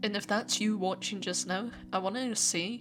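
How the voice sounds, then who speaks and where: Vocal fry in a woman's voice, fairly slow pace, ordinary pitch variation. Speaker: YouTuber. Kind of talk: personal vlog monologue to camera. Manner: halting, with repeated words.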